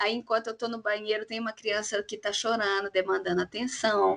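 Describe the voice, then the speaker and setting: A woman speaks in a plain, everyday voice at a moderate pace. Her pitch is fairly high and her intonation fairly even. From Belo Horizonte, Minas Gerais, Brazil. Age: 30s. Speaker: clown and actress. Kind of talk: casual chat.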